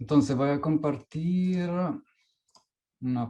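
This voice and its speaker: At a very slow pace, a man with a fairly high pitch speaks in a somewhat breathy, dark, mellow tone with ordinary pitch variation. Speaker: performance artist and researcher. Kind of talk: conference talk. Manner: halting.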